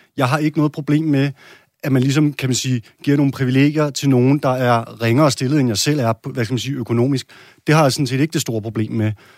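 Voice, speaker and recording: The speech comes at a very fast pace with fairly even intonation. It is a very clean recording with a silent background and a dry, close sound with no echo. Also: man, medium pitch for a man. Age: 30s. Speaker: parliamentary candidate, bricklayer. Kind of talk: political debate.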